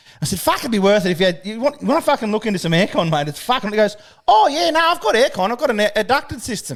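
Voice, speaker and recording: Very fast and high-pitched, a man speaks with very wide pitch swings. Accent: Australian. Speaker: podcast host. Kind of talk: casual chat.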